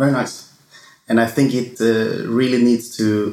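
A man with a Swedish accent at medium pitch and with fairly even intonation. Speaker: wine podcast host. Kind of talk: casual monologue; interview.

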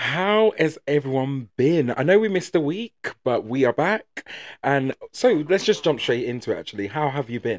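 Against a quiet background, a man with an English accent speaks at a moderate pace and a fairly high pitch with very wide pitch swings, the sound dry and close with no echo. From England. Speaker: podcast co-host. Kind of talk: casual chat.

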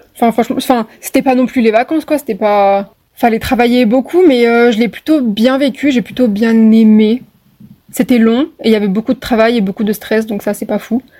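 A woman with a plain, everyday voice speaks at a moderate pace. Her pitch is fairly high, with ordinary variation. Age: 20s. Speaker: medical student. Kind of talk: podcast interview.

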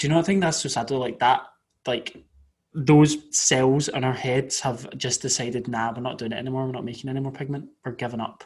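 A man with a Scottish accent talks at a fairly quick pace, somewhat breathy, with fairly even intonation. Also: medium pitch for a man. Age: 20s. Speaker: podcast co-host. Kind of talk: casual chat.

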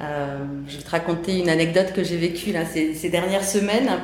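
The voice moves at a moderate pace amid noticeable background noise and audible room echo. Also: woman. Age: 40s. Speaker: sales director. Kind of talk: interview.

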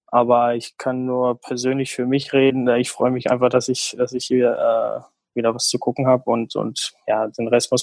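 A man is heard in a dry, close sound with no echo at all. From Germany, small village. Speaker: professional footballer. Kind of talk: casual interview. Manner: halting, many fillers.

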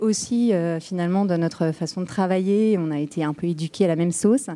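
A woman speaks in an unremarkable speaking voice, fairly low in pitch. Her pitch varies in an ordinary way and she goes fairly slowly. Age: 40s. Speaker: startup co-founder. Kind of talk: interview.

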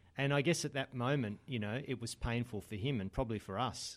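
A man with an Australian accent talks at a fairly quick pace with ordinary pitch variation. The recording is very clean with a silent background. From Australia, Adelaide. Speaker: men's group organiser. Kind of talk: casual interview.

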